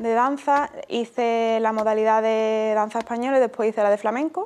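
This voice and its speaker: The woman keeps her intonation fairly even and her pace moderate. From Andalusia, Spain (Utrera, Seville); Andalusia. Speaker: flamenco dancer; interviewee. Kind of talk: interview. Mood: calm, reflective. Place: studio.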